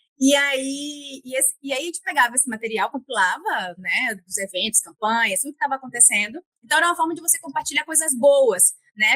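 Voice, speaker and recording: Raised and projected, the voice sounds bright and sharp, moving at a fairly quick pace with lively intonation in a dry, close recording with no echo. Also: woman. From Bahia, Northeast Brazil. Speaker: guest on career podcast, former public health worker. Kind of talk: interview conversation. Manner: halting, frequent repetitions and fillers.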